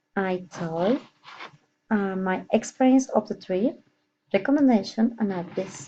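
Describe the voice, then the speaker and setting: At a fairly slow pace with long, frequent pauses, the voice is somewhat breathy with a dark, mellow tone. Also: woman, medium pitch for a woman, ordinary pitch variation. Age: 30s. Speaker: nurse. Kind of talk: prepared monologue. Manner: halting.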